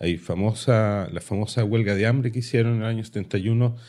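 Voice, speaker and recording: Recorded very cleanly against a silent background, a man talks at a fairly slow pace in a dark, mellow tone with fairly even intonation. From Chile. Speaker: podcast co-host. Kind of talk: casual chat.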